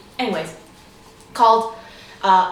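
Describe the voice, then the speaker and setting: In an American accent, a woman speaks at a moderate pace with audible room echo and noticeable background noise. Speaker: YouTuber. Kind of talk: casual chat. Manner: animated.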